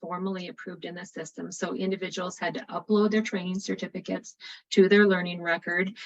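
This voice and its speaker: The speaker is a woman. She talks with an Upper Midwest accent. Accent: Upper Midwest American. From North Dakota. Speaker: state early childhood program presenter. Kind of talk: webinar presentation. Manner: fast.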